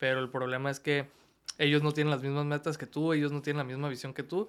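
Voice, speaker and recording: In a plain, everyday voice, a man talks at a fairly quick pace with a fairly high pitch and fairly even intonation. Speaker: body piercer. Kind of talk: casual chat. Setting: studio.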